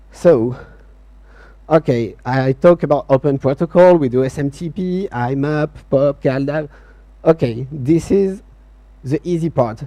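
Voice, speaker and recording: Speaking slowly with long, frequent pauses, a man with a French accent has a fairly high pitch and a dark, mellow tone, recorded dry and close with no echo. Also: ordinary pitch variation. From France. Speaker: software company CTO, conference speaker. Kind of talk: conference talk. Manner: hesitant, many fillers.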